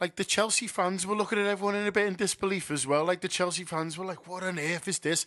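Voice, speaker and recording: A man with a Liverpool accent at a very fast pace, high-pitched, bright and sharp in tone, with fairly even intonation. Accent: Liverpool (Scouse). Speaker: football fan contributor. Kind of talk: personal anecdote.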